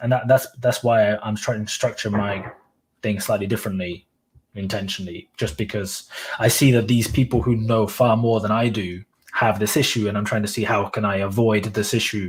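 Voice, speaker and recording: A man's fairly low voice comes out somewhat breathy, his intonation fairly even and his pace moderate. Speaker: YouTuber and blogger. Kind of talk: casual chat. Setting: livestream. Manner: monotone.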